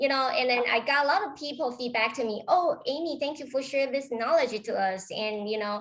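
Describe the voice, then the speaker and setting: A high-pitched woman with a Taiwanese accent, ordinary pitch variation, a fairly quick pace and hardly any pauses. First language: Chinese. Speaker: real estate agent. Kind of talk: interview.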